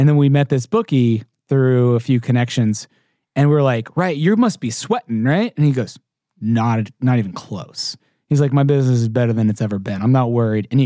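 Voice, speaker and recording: Man's dark, mellow, medium-pitched voice in an American accent, at a fairly quick pace, with a dry, close sound and no echo. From Texas, Houston. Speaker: documentary producer. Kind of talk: casual interview.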